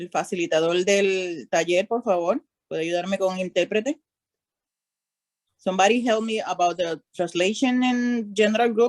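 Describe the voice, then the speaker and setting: Moderate-paced speech with ordinary pitch variation, its sound dry and close with no echo. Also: woman, medium pitch for a woman. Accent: Spanish. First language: Spanish. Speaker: workshop participant. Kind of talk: complaint in online meeting. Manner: halting in English.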